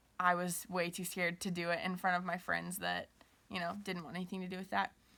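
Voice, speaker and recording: At a fairly quick pace, the voice has a bright, sharp tone and flat, monotone intonation in a very clean recording with a silent background. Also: woman. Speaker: college student and youth ministry leader. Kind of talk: personal testimony. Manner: casual with frequent fillers.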